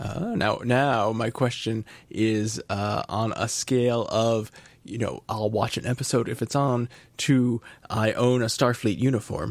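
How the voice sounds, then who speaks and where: In a very clean recording with a silent background, a man with a plain, everyday voice speaks at a fairly slow pace, his medium pitch held in fairly even intonation. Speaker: podcast host. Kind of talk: casual chat.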